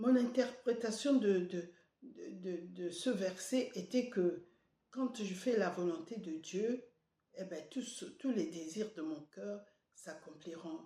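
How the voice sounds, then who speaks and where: Very slow and lively in intonation, a woman speaks at a medium pitch with a dark, mellow tone, a somewhat breathy sound and big swings in loudness. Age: 70s. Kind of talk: devotional sermon. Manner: halting, many hesitations.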